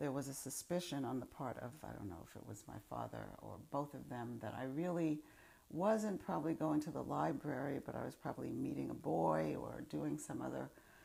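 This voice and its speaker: A woman's voice in a New York accent with big swings in loudness. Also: moderate pace. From Upper Manhattan, New York City. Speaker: former college student, oral history interviewee. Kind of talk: interview answer. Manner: reflective, hesitant.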